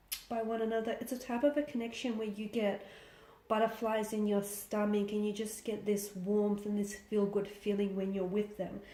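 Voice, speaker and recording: A woman's fairly high, monotone, flat voice amid noticeable background noise and audible room echo. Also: moderate pace. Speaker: tarot reader. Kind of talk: tarot reading.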